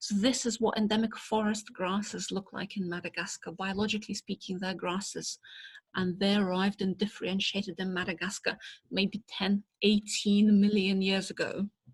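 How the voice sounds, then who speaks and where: A woman with a Russian accent speaks at a moderate pace and medium pitch, somewhat breathy and monotone, her flat intonation recorded dry and close with no echo. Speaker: botanist. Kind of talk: lecture.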